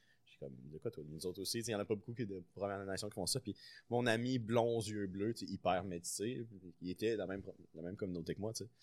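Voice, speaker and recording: A man with a normal speaking voice, fairly low pitch, ordinary pitch variation, big swings in loudness and a fairly quick pace. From Quebec City, Quebec. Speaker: chef. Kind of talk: casual chat.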